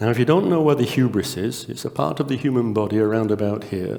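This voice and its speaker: A man with a northern English accent speaks quietly at a moderate pace with lively intonation. Audible room echo and noticeable background noise fill the recording. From northern England. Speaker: conference speaker, test company co-founder. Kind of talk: conference talk. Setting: conference stage with audience.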